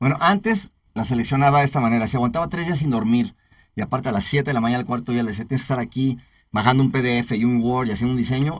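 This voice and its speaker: Very fast and somewhat breathy, a man speaks at a medium pitch with ordinary pitch variation on a very clean recording with a silent background. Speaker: entertainment producer, entrepreneur. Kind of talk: interview chat.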